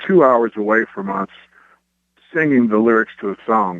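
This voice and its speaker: A man with a Kentucky accent and fairly low pitch. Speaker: rock band frontman and guitarist. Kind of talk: radio interview.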